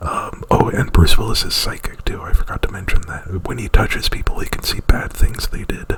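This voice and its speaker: A man is whispering. Noticeable background noise is present. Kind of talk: ASMR roleplay, unscripted movie plot retelling. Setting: close to microphone. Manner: whispered; hesitant, rambling.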